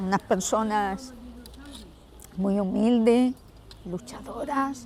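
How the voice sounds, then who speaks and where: A woman talks at a very slow pace in a fairly high pitch, her pitch varying in an ordinary way. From Andalusia, Huelva province. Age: 60s. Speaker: interviewee, local resident. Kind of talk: interview. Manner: halting, with repetitions.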